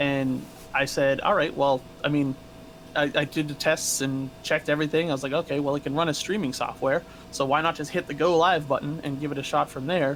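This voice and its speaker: Fairly quick and flat in a monotone, a man with an American accent and a fairly high voice talks over noticeable background noise. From New England, Massachusetts. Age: 30s. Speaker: streamer, former corrections officer. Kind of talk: interview.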